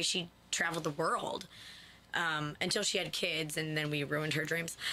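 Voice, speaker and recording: Noticeable background noise underlies a woman with an American accent who speaks fairly quickly. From upstate New York. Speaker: singer-songwriter. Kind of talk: radio interview. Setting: radio studio.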